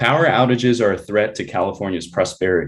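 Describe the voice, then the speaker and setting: An unremarkable speaking voice belongs to this man, fairly low in pitch. His intonation is lively and his pace moderate. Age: 30s. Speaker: energy policy researcher, public commenter. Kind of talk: public comment. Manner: formal.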